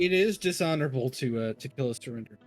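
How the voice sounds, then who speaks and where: Faint music plays in the background as a man in a put-on character voice speaks very fast at a medium pitch. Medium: actual play. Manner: terse, hissing.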